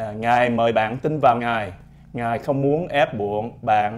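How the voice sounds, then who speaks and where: At a very slow pace, a man speaks with ordinary pitch variation. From Vietnam. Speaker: doctor and army officer. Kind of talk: testimony. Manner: halting. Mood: calm, earnest. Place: studio. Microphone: lapel.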